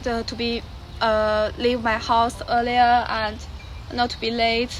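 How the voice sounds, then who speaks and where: Over music in the background, a woman speaks very slowly at a high pitch. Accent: Chinese. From China. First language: Mandarin Chinese. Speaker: exchange student. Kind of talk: interview. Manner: halting.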